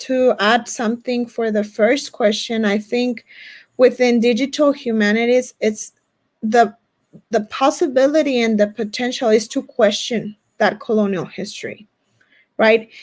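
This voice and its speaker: A woman with a Spanish accent speaks at a fairly slow pace, her fairly high voice keeping a fairly even intonation on a very clean recording with a silent background. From US-Mexico border region. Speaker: academic presenter. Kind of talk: conference Q&A answer. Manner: halting, with many restarts.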